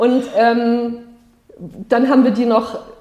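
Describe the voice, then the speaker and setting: A woman speaks with a high pitch. There is noticeable background noise in the recording. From Palatinate, Germany (Ludwigshafen). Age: 40s. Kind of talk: casual interview.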